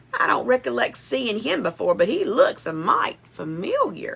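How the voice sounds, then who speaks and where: A woman puts on a raspy character voice in a Southern US accent. She speaks at a moderate pace. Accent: Southern cowboy drawl. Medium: read story.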